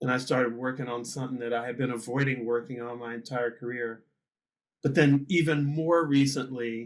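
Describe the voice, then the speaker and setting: Here is a man with a normal speaking voice at a medium pitch. He talks at a fairly quick pace with fairly even intonation. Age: 60s. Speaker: musician and podcast host. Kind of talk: casual chat.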